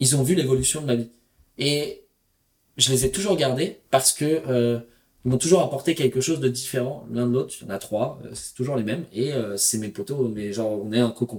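This man has a medium-pitched, somewhat breathy voice. His pace is moderate and his pitch varies in an ordinary way. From Paris region, Val-d'Oise. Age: 30s. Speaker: entrepreneur and traveler. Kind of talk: casual interview.

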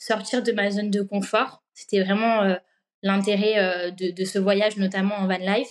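This woman's fairly high voice moves along very slowly. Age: 20s. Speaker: working holiday traveller. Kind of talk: interview testimony.

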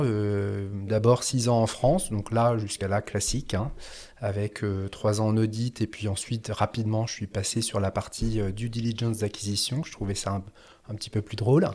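His tone is dark and mellow, with a fairly low pitch. The man speaks at a moderate pace. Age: 40s. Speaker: former audit firm executive turned café owner. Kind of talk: interview conversation. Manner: halting, many hesitations and repeated words.

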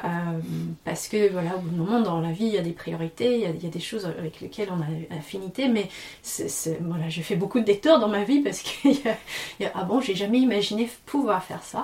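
Soft-spoken and lively in intonation, a woman talks at a fairly quick pace over noticeable background noise. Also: medium pitch for a woman. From Tasmania, Australia. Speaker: yoga and singing teacher, aerial performer. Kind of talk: casual interview. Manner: halting, many repetitions.

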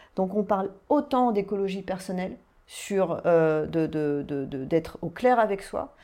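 Medium-pitched woman's voice, dark and mellow in tone, with lively intonation at a fairly slow pace, on a very clean recording with a silent background. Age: 40s. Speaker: life coach and hypnotherapist. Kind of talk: guided hypnosis; interview chat.

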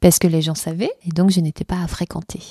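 The sound is dry and close, with no echo. A woman speaks in a fairly low pitch with monotone, flat intonation. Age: 40s. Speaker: interviewee, abuse and cancer survivor. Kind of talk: testimony. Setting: her home.

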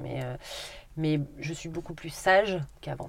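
Her pace is moderate. The woman's pitch rises and falls in an ordinary way. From Haute-Corrèze, France. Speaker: grocery shop owner. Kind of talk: interview.

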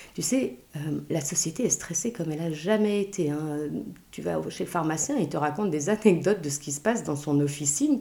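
Her pitch very deep and low, a woman speaks with lively intonation. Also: fairly quick pace. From Belgium and Luxembourg. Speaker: author and burnout expert. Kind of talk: interview.

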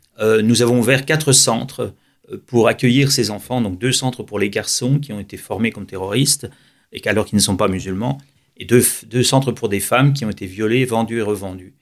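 At a moderate pace, an unremarkable speaking voice comes from a man at medium pitch with ordinary pitch variation. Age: 60s. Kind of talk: radio interview.

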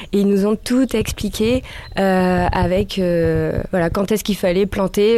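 A woman at a medium pitch speaks at a fairly slow pace in a dark, mellow tone with fairly even intonation. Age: 30s. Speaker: police officer and backpack traveller. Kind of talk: interview.

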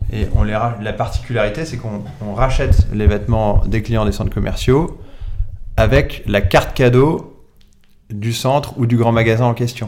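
A man with an unremarkable speaking voice talks at a fairly slow pace, at medium pitch with ordinary pitch variation. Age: 40s. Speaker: entrepreneur, founder of a second-hand collection company. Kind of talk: interview.

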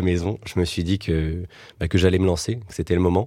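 A man speaks in a very deep, low pitch with a dark, mellow tone and monotone, flat intonation. The recording is very clean, with a silent background. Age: 20s. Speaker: startup co-founder. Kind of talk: casual interview.

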